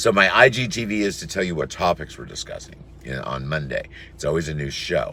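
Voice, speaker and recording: Against noticeable background noise, a man talks at a fairly quick pace with lively intonation and a very deep, low pitch. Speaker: online business vlogger and podcaster. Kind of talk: casual vlog monologue. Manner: rambling, many fillers; casual, conversational.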